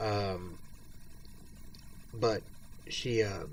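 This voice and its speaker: This man's voice sits fairly low in pitch and sounds somewhat breathy. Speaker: video blogger with multiple sclerosis. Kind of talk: personal monologue. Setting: at home, bedridden or in chair. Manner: halting.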